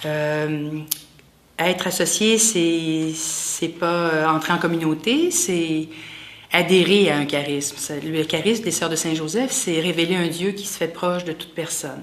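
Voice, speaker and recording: Fairly slow and with fairly even intonation, a woman with a Quebec accent speaks in a fairly low voice amid noticeable background noise and audible room echo. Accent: Québécois French. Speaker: lay associate of a religious community, massage therapist. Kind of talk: interview testimony. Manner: halting.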